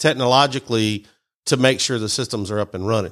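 A Mississippi accent with ordinary pitch variation, in a very clean recording with a silent background. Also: man. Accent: Southern US (Mississippi). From US South. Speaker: IT company CEO. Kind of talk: radio interview. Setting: studio.

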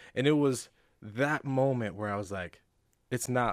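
In a very clean recording with a silent background, a man with a normal speaking voice talks at a moderate pace with ordinary pitch variation. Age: 20s. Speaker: nonprofit founder. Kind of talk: casual chat.

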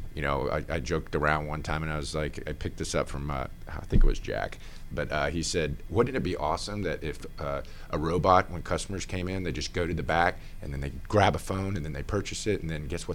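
Vocal fry at a very fast pace, with ordinary pitch variation. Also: man. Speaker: business owner. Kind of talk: casual interview.

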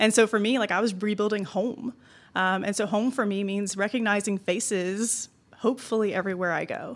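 The speaker uses an ordinary speaking voice at a fairly quick pace with fairly even intonation. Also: woman, medium pitch for a woman, very clean recording, silent background. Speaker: realtor. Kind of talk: casual interview. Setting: live event.

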